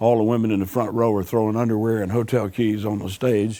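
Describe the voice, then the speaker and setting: With a Southern US accent, a man talks at a fairly quick pace in a fairly low, dark, mellow voice with monotone, flat intonation. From US South, Alabama. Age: 60s. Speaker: blues musician. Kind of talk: interview.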